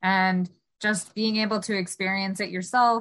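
With a General American accent, a woman speaks in a normal speaking voice at medium pitch, keeping a moderate pace and fairly even intonation in a very clean recording with a silent background. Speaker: student podcast host. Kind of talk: interview.

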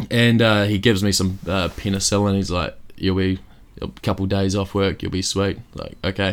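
This man speaks in a New Zealand accent, his voice pitched fairly low. The delivery is flat and monotone, on a very clean recording with a silent background. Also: fairly quick pace. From Christchurch, New Zealand. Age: 20s. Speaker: comedian and kitchen maker. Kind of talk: casual chat. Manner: joking, deadpan.

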